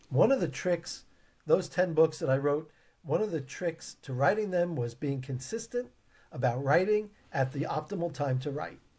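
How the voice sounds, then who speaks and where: A man speaks with a dark, mellow tone, lively intonation and a fairly high pitch. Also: moderate pace. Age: 50s. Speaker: leadership trainer and keynote speaker. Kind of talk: interview.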